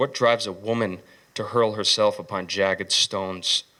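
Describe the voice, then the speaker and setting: A man speaks in a plain, everyday voice at medium pitch and a moderate pace. The recording is very clean, with a silent background. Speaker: poet, former Marine. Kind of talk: poetry reading.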